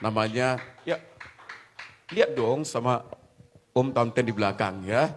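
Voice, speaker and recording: Pausing long and often, a man speaks at a fairly slow pace in a medium pitch with ordinary pitch variation. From Batak from Medan, North Sumatra. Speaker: pastor. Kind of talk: sermon. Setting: church.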